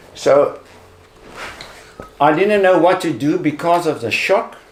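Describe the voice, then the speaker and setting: Noticeable background noise is present. A man talks over it. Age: 70s. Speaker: cancer survivor. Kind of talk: testimony. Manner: halting.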